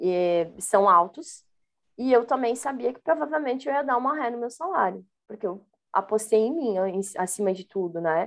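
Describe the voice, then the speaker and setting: The speaker has an ordinary speaking voice and keeps a moderate pace. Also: woman. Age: 30s. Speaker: Scrum Master, former education manager. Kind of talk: interview.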